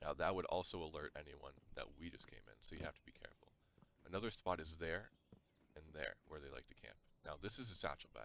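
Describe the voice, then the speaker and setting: This man talks very fast in a very deep, low pitch, with lively intonation, a bright, sharp tone, vocal fry and big swings in loudness. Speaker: gaming youtuber. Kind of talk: gameplay tutorial.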